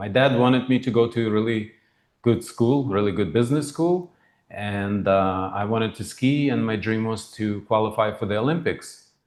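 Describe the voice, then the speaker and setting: Against a quiet background, a man with a slight non-native accent talks at a medium pitch. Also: ordinary pitch variation, moderate pace. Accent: slight foreign. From former Soviet Union. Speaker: financial planner and humanitarian founder. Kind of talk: interview.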